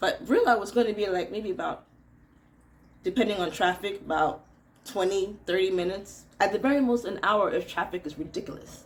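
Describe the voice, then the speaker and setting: Animated and at a fairly quick pace, a woman with a medium pitch speaks with ordinary pitch variation in an American accent. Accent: American-sounding. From Nigeria. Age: 40s. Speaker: radio presenter. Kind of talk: casual storytelling vlog.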